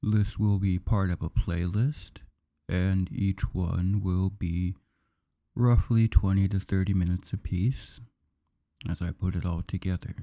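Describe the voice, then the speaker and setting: A man speaks fairly slowly at a very deep, low pitch, his tone dark, mellow and soothing. His intonation is fairly even, and the sound is dry and close with no echo. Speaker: audiobook narrator. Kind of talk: spoken intro to listeners. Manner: slow, soothing.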